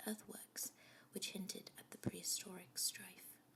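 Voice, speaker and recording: A soft-spoken voice keeps to a middling speed. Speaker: amateur ASMR reader, first time doing ASMR. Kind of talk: bedtime story reading, ASMR audiobook. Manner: soft-spoken, growing louder as the reading goes on.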